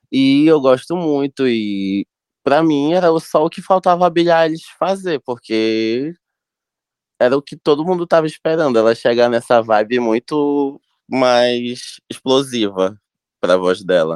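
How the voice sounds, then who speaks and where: Against a quiet background, a man with a medium-pitched voice talks at a fairly slow pace with lively intonation, the sound dry and close with no echo. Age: 20s. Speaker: music enthusiast. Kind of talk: casual chat.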